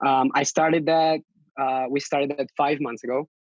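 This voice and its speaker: A man with a Catalan accent speaks at a fairly high pitch. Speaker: lettering artist and designer. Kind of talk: podcast interview. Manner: halting, many fillers.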